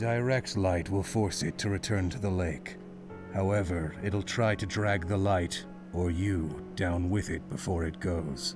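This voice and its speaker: A put-on character voice at a fairly slow pace over loud background music. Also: man, very deep, low pitch for a man. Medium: virtual streamer. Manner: terse, detached.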